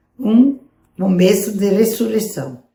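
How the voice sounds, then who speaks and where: A somewhat breathy woman's voice with a dark, mellow tone, medium pitch and ordinary pitch variation, at a very slow pace. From southern Brazil, Rio Grande do Sul (Passo Fundo area). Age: 80s+. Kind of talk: testimony.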